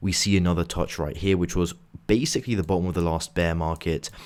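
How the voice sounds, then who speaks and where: In a very clean recording with a silent background, a man speaks quietly in a very deep, low voice. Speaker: crypto trading youtuber. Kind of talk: market analysis video. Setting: hotel room. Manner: quiet, hushed.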